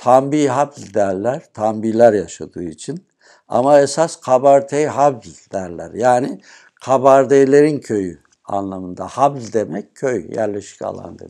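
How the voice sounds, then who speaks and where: A man talks at a very slow pace with a dark, mellow tone and lively intonation. His loudness swings widely, and the background is quiet. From Turkey, Düzce region (Sarıdere village); Turkey. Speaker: retired police officer, villager; interviewee. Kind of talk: interview. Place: home room. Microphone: lapel.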